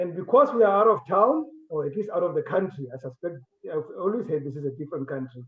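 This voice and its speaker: Fairly quick and high-pitched, a man speaks with a non-native accent. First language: not English. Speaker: talk show host. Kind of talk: interview. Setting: on location away from studio.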